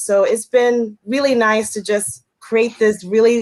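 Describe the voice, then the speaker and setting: At a fairly slow pace, a woman speaks with a fairly high pitch. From United States, Puerto Rican family. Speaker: ESL teacher and YouTuber. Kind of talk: livestream panel introduction.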